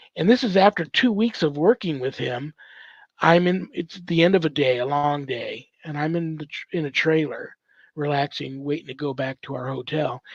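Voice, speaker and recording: A man's fairly high voice at a moderate pace, with ordinary pitch variation, big swings in loudness, and a dry, close sound with no echo. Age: 60s. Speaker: exorcist and ordained priest. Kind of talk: testimony. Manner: halting.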